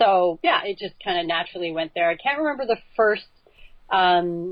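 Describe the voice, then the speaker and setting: A woman with a Canadian accent and a plain, everyday voice speaks at a moderate pace with lively intonation. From Canada, northern Alberta. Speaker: ultra obstacle course racer. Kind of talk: casual interview.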